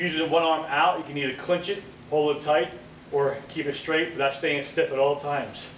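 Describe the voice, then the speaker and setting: In a room with audible echo and light background noise, a man talks at a moderate pace with flat, monotone intonation. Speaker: fitness trainer. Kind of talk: workout tutorial. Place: gym. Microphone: camera far.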